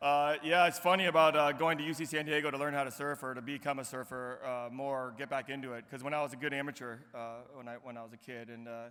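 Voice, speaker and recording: A bright, sharp tone at a very fast pace, with big swings in loudness, fairly even intonation and hardly any pauses. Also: man, fairly high pitch for a man. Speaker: commencement speaker. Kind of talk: speech. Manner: halting.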